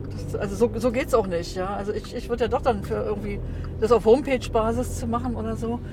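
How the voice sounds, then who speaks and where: Noticeable background noise sits behind a woman speaking at a very fast pace. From East Germany (former GDR). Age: 60s. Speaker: driver. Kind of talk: casual chat. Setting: in a car.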